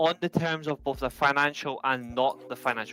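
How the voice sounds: A man speaks with a Scottish accent at a fairly high pitch. Music plays in the background.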